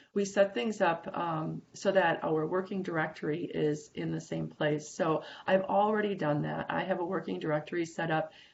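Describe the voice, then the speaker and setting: With vocal fry, a woman talks at a moderate pace, with hardly any pauses. Her pitch is fairly low, with ordinary variation. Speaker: CAD instructor. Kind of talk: tutorial. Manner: casual, with fillers.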